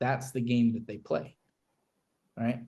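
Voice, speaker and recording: In an American accent, the voice comes across as somewhat breathy. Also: man. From Kentucky, Louisville. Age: 30s. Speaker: marketing agency owner and business coach. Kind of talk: live business walkthrough / casual teaching. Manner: animated, filler-heavy casual talk.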